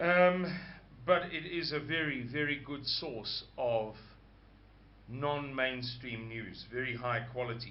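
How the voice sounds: A slow-paced man with ordinary pitch variation, set in audible room echo. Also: medium pitch for a man.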